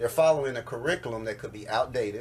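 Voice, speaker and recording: Somewhat breathy and pitched in the middle range, the man's voice rises and falls in a normal way. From Cincinnati, Ohio. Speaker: educator and author. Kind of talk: radio interview answer.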